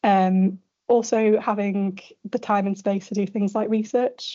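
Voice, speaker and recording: A woman's medium-pitched voice in a Yorkshire accent, monotone and flat in intonation. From northern England, Sheffield. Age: late 20s. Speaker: radiology registrar. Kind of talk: conference panel talk.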